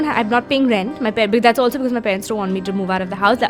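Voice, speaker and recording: A woman talks at a fairly high pitch while music plays behind her. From India. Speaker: film actress. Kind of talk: interview answer. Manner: casual, conversational.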